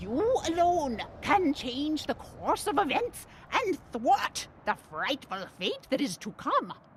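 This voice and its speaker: In a put-on character voice, a woman speaks at a high pitch and fairly slow pace with very wide pitch swings. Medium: solo performance. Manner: solemn, oracular.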